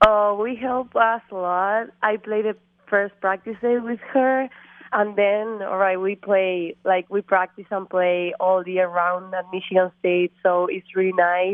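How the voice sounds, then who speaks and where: A fairly slow delivery with an Argentine accent and fairly even intonation. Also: woman, medium pitch for a woman. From Argentina. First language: Spanish. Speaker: college golfer. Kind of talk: interview. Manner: halting.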